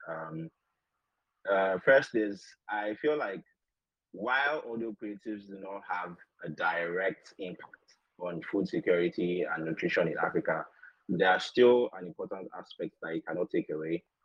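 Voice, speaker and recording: An unremarkable speaking voice from a man, fairly low in pitch, with lively intonation, big swings in loudness and a moderate pace. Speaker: podcaster. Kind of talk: panel discussion. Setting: online audio room.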